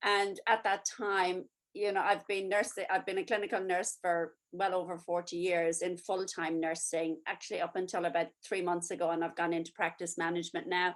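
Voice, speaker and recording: A woman speaks at a moderate pace with hardly any pauses, in a medium pitch. Her intonation is monotone and flat, over a quiet background. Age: 60s. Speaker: nurse and network marketer. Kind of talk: testimony.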